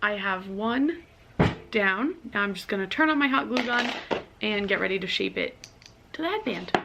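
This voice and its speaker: A woman speaks in a fairly high voice with lively intonation at a moderate pace. Long, frequent pauses break her speech, and there is noticeable background noise. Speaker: vlogger. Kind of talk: tutorial.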